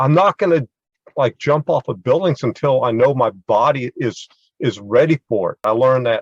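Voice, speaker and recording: Somewhat breathy, a man speaks with ordinary pitch variation in a dry, close sound with no echo. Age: 70s. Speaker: military veteran and parkour practitioner. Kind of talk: panel discussion. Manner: halting, repeats words.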